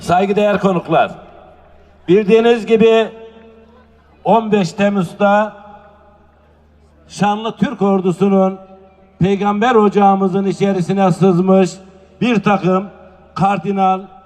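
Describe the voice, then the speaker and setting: Speech comes at a very slow pace with long, frequent pauses, in a monotone, flat intonation. Noticeable background noise runs underneath. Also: man, high pitch for a man, very even loudness. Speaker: public speaker at a nomad culture festival. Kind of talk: public speech. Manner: rousing, oratorical.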